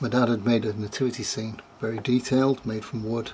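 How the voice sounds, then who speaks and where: Someone with a northern English accent talks at a moderate pace in a flat, monotone intonation over noticeable background noise. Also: man. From northern England (Glossop, Derbyshire). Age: 60s. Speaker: storyteller giving a religious testimony. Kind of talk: testimony.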